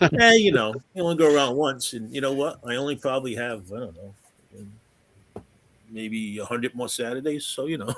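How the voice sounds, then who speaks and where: With a southern New England accent, a man at medium pitch talks fairly quickly, with long, frequent pauses, ordinary pitch variation and big swings in loudness. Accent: southern New England accent, dropped th. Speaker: gaming convention organizer. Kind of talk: casual chat.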